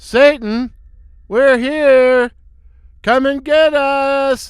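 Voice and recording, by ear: A man bellows loudly in a put-on character voice, pitched extremely high for a man. He goes very slowly with fairly even intonation.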